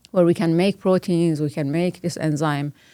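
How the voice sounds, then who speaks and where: A woman with a Persian accent, fairly low-pitched, dark and mellow, monotone and flat, at a fairly quick pace, dry and close with no echo on a very clean recording with a silent background. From Iran. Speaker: biomedical scientist and professor. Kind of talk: interview conversation. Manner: hesitant, many fillers.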